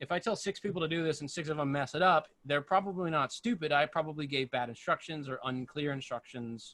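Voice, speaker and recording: A man with a bright, sharp tone speaks at a fairly quick pace and fairly high pitch. His pitch variation is ordinary, and the sound is dry with no echo. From United States. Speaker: live sound engineer; guest. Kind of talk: casual panel discussion. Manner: fast. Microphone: video call.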